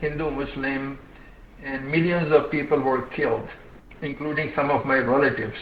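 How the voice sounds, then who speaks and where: A man with a fairly high pitch talks at a moderate pace in a monotone, flat way. Noticeable background noise and audible room echo are present. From India, Hyderabad. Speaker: social development expert, retired IT analyst. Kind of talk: webinar talk. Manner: halting.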